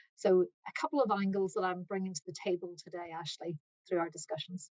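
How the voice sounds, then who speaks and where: With an Irish accent, a woman speaks at a fairly quick pace, her medium pitch showing ordinary variation. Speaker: accounting firm partner. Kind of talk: webinar presentation. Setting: online webinar.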